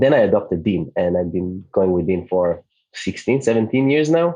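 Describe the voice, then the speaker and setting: A man with an Israeli accent speaks in a dark, mellow tone with ordinary pitch variation. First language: Hebrew. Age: 30s. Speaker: digital nomad community founder. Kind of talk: podcast interview.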